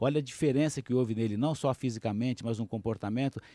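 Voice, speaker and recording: Talking at a very fast pace, a man with a medium pitch, dark, mellow tone and fairly even intonation sounds dry and close, with no echo. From Brazil, Minas Gerais. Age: 60s. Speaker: business executive and coach. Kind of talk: radio interview. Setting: studio.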